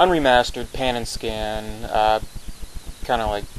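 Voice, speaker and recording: The speech runs at a moderate pace with fairly even intonation, against noticeable background noise. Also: man. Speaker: movie reviewer. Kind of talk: casual talk to camera.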